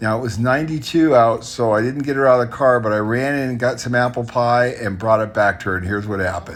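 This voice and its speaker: Talking at a fairly quick pace, a man is heard over music in the background. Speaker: entrepreneur. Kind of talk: casual talk to camera.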